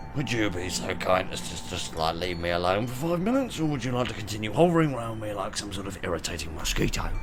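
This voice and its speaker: A man puts on a character voice, strained and fairly low in pitch, talking at a very fast pace. Loud background noise runs underneath. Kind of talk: posh, formal. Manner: sarcastic, irritated.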